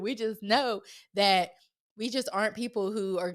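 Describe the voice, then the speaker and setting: Speaking with a fairly high pitch, a woman keeps to a moderate pace. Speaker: podcast co-host, married to other host. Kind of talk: casual chat. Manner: loud.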